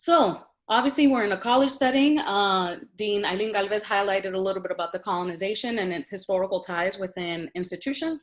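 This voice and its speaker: In a Spanish accent, a woman with a medium pitch talks at a fairly quick pace with lively intonation, on a very clean recording with a silent background. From Puerto Rico, moved to Boston at 12. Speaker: university administrator. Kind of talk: panel presentation with slides.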